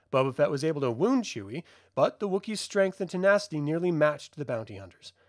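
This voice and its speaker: Fairly high in pitch, a man talks quickly with lively intonation in an ordinary speaking voice. The recording is very clean with a silent background. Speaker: channel host narrating comics. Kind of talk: reading aloud.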